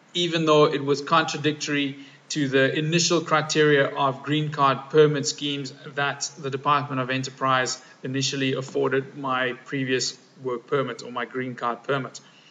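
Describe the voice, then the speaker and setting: Noticeable background noise surrounds a man speaking at a moderate pace. His pitch is fairly high, and his intonation is a flat monotone. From South Africa. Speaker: physiotherapist. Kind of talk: personal video statement. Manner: formal.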